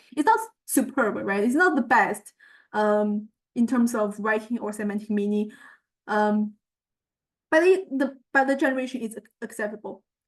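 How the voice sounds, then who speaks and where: A woman with a Chinese accent talks at a moderate pace, fairly high in pitch with ordinary pitch variation. She leaves long, frequent pauses. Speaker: student researcher presenting a project. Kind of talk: tutorial walkthrough of results. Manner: halting, many fillers.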